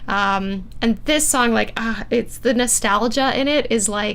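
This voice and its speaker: A woman's fairly even intonation and fairly slow pace come through noticeable background noise. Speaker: harpist and composer hosting a livestream. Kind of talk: livestream album listening party chat. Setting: livestream. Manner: casual with many fillers.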